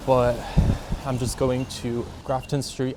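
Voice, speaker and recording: Noticeable background noise sits behind this man, whose voice has a medium pitch. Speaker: vlogger. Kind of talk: casual vlog talk to camera. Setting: outdoors walking on a city street. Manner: casual, filler-heavy.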